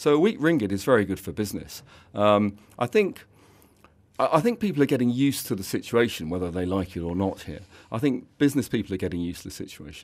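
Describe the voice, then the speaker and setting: In a very clean recording with a silent background, a man talks very fast in a fairly low voice with lively intonation. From England. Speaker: fund manager. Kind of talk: radio interview. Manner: halting.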